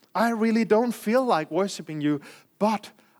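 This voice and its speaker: The speaker has a Danish accent. The recording is very clean, with a silent background. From Denmark. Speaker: preacher. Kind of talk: sermon. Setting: church.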